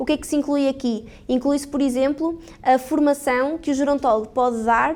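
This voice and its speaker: High-pitched speech from a woman, with ordinary pitch variation. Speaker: gerontologist and lecturer. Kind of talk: conference talk. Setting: hall with audience. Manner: fast.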